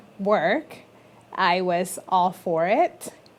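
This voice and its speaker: A woman with a Spanish accent. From Colombia. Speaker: business consultant. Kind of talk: interview.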